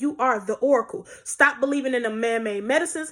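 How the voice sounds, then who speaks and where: Quick-paced and animated, a woman's high voice carries lively intonation. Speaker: spiritual vlogger. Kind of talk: spiritual monologue to camera. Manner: fast.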